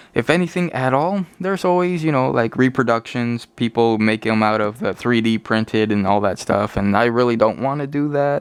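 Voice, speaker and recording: Lively intonation and a moderate pace in an unremarkable speaking voice. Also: man. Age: adult. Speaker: toy collector YouTuber. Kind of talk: casual toy review. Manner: casual with fillers.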